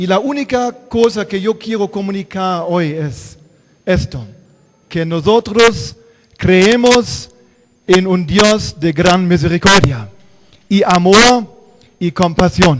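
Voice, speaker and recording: A man with a German accent speaks in a high voice with lively intonation. He goes very slowly, with long, frequent pauses. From Germany. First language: German (speaking Spanish). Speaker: pastor. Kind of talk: sermon. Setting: church.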